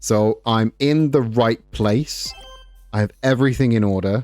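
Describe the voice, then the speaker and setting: With music in the background, a man talks at a medium pitch that varies in an ordinary way. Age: 30s. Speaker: gaming streamer. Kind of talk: casual chat.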